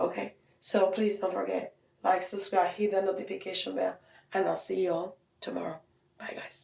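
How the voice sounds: A woman speaks at a moderate pace in a raspy, put-on character voice with a medium pitch.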